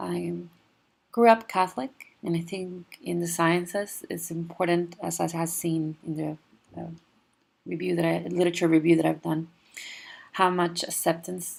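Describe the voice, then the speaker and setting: A woman speaks with a Spanish accent at a moderate pace. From Mexico, near the US border. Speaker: PhD student, physical oceanographer. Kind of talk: class presentation. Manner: halting, with many fillers.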